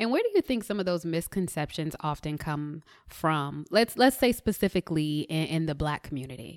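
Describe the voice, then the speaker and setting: In a very clean recording with a silent background and a dry, close sound with no echo, a woman speaks. She has an ordinary speaking voice, fairly low in pitch, with lively intonation. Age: 30s. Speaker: podcast host. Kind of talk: casual interview; scripted introduction.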